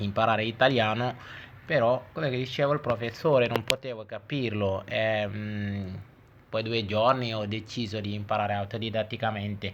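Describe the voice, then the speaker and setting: This man's medium-pitched voice holds a fairly even intonation and a moderate pace. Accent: Senegalese. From Senegal. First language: Wolof (speaking Italian). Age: 30s. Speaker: language teacher. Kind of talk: tutorial.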